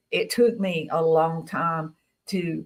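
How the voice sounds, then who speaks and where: Ordinary pitch variation from a woman in a Southern US accent. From Tennessee. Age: 60s. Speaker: guest speaker on experiencer stories. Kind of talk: interview testimony.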